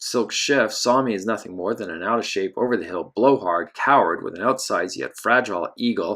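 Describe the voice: Lively intonation over plain reading aloud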